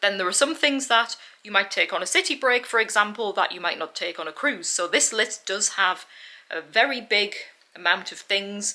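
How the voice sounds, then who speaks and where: A woman with a British accent speaks at medium pitch with ordinary pitch variation. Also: moderate pace, big swings in loudness. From UK. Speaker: travel vlogger. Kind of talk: tutorial.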